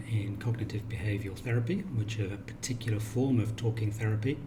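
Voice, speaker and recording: Delivered at a fairly quick pace in a British accent, the monotone, flat speech comes with audible room echo and noticeable background noise. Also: man. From England, Cornwall. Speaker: counsellor. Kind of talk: self-introduction video.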